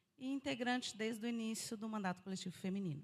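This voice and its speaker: Fairly quick delivery in an ordinary speaking voice, pitch varying in an ordinary way. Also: woman. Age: 40s. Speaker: political activist and entrepreneur. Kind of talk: live interview.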